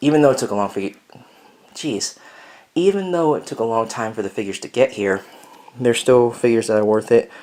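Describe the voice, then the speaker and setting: A man at a fairly quick pace. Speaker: LEGO hobby vlogger. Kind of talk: casual vlog update. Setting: at home, echoey room. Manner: loud. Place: home room. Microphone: phone near.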